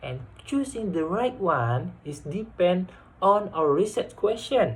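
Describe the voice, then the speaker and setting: Talking at a fairly slow pace, a man with an Indonesian accent swings his pitch very widely. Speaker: university student. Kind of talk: class presentation. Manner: halting.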